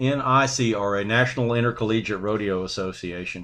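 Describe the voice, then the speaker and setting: Against a quiet background, a man with a Louisiana accent talks at a moderate pace in a medium pitch with ordinary pitch variation. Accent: Southern US (Louisiana). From Louisiana, US South. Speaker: army veteran. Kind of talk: interview conversation.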